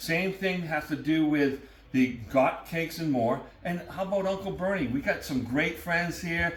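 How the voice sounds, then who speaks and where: With a New England accent, the speaker sounds animated over noticeable background noise. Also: man, high pitch for a man, ordinary pitch variation, moderate pace. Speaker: cooking show host. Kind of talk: casual chat.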